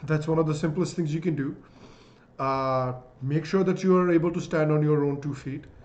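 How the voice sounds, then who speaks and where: A man with a Bihari accent speaks fairly quickly at a fairly high pitch. His intonation is fairly even, and room echo is audible. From India, Bihar. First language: Magadhi. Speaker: YouTube commentator. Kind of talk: live-stream Q&A. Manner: casual, hesitant fillers.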